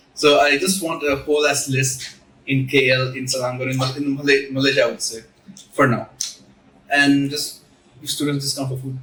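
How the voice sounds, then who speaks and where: Against noticeable background noise, a man speaks at a moderate pace with long, frequent pauses. His fairly high voice has a monotone, flat intonation. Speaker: student club president. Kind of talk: casual chat. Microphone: recorded without a mic.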